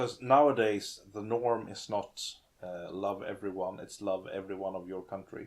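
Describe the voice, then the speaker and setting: With a Swedish accent, a man talks at a fairly slow pace and fairly low pitch. His pitch variation is ordinary, and the recording is very clean with a silent background. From Sweden. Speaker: gaming podcast co-host. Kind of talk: casual chat. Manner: halting.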